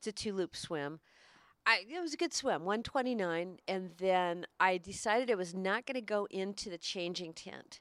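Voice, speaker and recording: A woman with an unremarkable speaking voice, medium-pitched with ordinary variation, at a moderate pace, in a dry, close sound with no echo. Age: 60s. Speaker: broadcaster and triathlete. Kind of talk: casual chat. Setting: in-person recording.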